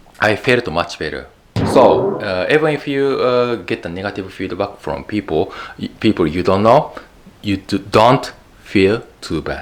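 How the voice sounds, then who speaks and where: Against noticeable background noise, a man with a Japanese accent speaks in a fairly low pitch. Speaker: YouTube educator. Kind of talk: talking-head video monologue. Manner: halting, many fillers and repeats.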